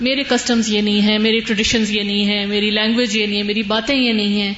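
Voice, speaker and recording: A woman speaks. Noticeable background noise sits behind her voice. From Pakistan. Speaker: student in a Quran class. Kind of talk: personal testimony.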